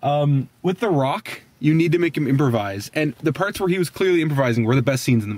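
At a fairly quick pace, a man talks in a dry sound with no echo. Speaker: movie reviewer. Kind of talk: casual movie review chat. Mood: amused, opinionated. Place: car. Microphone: phone near.

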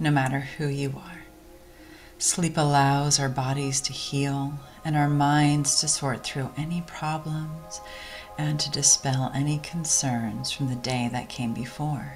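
Over music in the background, a woman with a very deep, low voice speaks in a soothing, gentle tone at a fairly slow pace. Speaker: clinical psychologist and meditation guide. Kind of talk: guided sleep meditation. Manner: soothing, gentle, slow.

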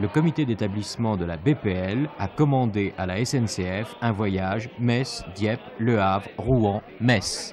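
Crowd noise fills the background. A man speaks at a very slow pace. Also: fairly low pitch for a man, ordinary pitch variation. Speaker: TV news narrator. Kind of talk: news report narration. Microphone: old recording.

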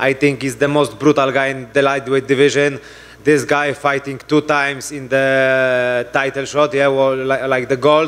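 Speaking at a moderate pace with a Polish accent, a man with a fairly high pitch keeps a monotone, flat intonation. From Poland. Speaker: mixed martial arts fighter. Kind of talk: post-fight press conference answers. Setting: press conference. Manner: halting, broken English. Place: hall. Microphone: handheld.

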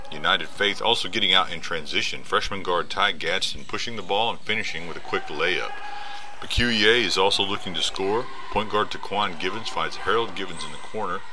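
At a fairly quick pace, a man talks while noticeable background noise goes on. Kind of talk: sports commentary. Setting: voiceover on game highlight video.

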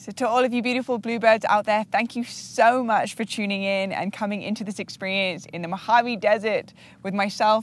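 Sounding enthusiastic, a woman with a fairly high pitch talks at a moderate pace in a dry recording with no echo and light background noise. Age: 30s. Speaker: podcast host. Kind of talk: interview; interview questions and host talk. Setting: outdoors. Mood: warm, gentle, smiling. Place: open country. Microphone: lapel.

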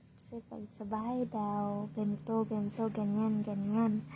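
Here is a woman with an ordinary speaking voice. Her pitch is medium and her pace fairly slow. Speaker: vlogger. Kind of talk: casual vlog. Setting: hotel room.

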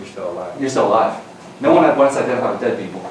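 A man's voice carries audible room echo. There is light background noise as well. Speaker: lecturer. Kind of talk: lecture with class discussion. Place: classroom. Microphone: camera far.

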